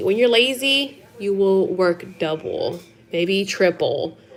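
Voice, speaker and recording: A woman's animated voice swings very widely in pitch, with noticeable background noise around her. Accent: Spanish. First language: Spanish. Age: 30s. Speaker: live-stream host. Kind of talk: casual chat. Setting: home live stream.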